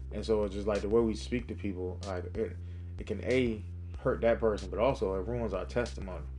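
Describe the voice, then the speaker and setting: A man with a very deep, low pitch and vocal fry talks at a fairly quick pace. His pitch swings very widely, and audible room echo surrounds him. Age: 30s. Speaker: podcast host giving a Bible devotional. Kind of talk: devotional talk. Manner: casual, many fillers.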